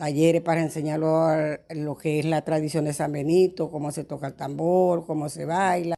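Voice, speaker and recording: A woman with a very deep, low, dark and mellow voice speaks in a monotone at a moderate pace with hardly any pauses. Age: 60s. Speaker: religious festival organizer. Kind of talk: interview testimony.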